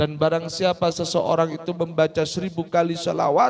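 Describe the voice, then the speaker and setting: A man's fairly high voice at a fairly slow pace against noticeable background noise. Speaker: Islamic religious teacher. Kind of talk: religious talk to children. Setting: Quran school gathering.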